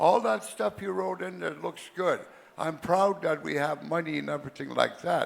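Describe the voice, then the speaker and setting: The pitch swings very widely at a fairly slow pace. Noticeable background noise runs underneath. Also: man. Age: 80s+. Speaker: community elder. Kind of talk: assembly floor speech.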